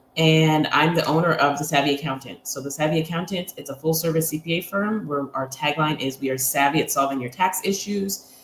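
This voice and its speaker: Speaking at a fairly quick pace with hardly any pauses, a woman uses a very deep, low pitch, ordinary pitch variation and a somewhat breathy voice. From Quebec, Montreal. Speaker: accountant. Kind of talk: interview.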